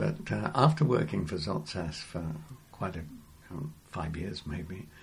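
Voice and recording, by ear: A man with an English accent speaks with vocal fry, and audible room echo surrounds him.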